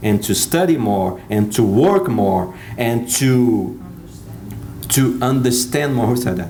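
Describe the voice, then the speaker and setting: Against noticeable background noise and audible room echo, a man talks at a medium pitch. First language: Portuguese. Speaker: speaker. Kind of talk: talk to an audience. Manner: halting.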